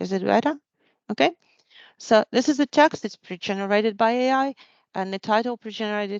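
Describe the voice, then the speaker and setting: A woman with a non-native accent and a fairly high pitch speaks at a fairly quick pace with long, frequent pauses, in a dry, close sound with no echo and a quiet background. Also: ordinary pitch variation. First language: not English. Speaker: tech presenter. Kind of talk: live software demo. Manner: halting, many restarts.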